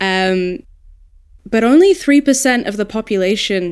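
Fairly slow speech with lively intonation is heard in a very clean recording with a silent background. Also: woman. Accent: Australian. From Australia. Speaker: audiobook narrator and dialect coach. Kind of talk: casual panel discussion.

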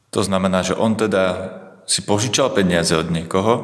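Through noticeable background noise, a man speaks very fast in a fairly low voice. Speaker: news podcast host. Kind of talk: news reading.

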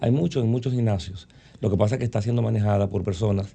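A man's voice sits at a medium pitch and sounds somewhat breathy. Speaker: doctor. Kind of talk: interview.

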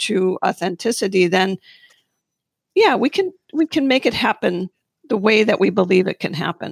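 Her voice sits at a medium pitch for a woman, with vocal fry. She speaks at a moderate pace, and the sound is dry and close with no echo. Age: 60s. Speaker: acupuncturist. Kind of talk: panel discussion about acupuncture practice.

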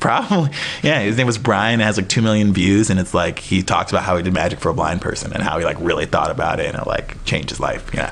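Over noticeable background noise, a man with an American accent talks at a very fast pace in a fairly low pitch with ordinary pitch variation. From US Midwest, Wisconsin (Appleton). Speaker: magician and comedian. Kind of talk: casual chat.

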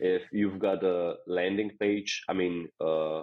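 A man's very deep, low pitch with fairly even intonation. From Slovenia. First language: Slovenian. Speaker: software company co-founder. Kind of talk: interview.

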